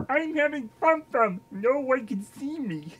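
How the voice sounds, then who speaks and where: Here is a put-on character voice. It goes at a fairly slow pace. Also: female-sounding voice, high pitch for a woman. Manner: cheerful, playful.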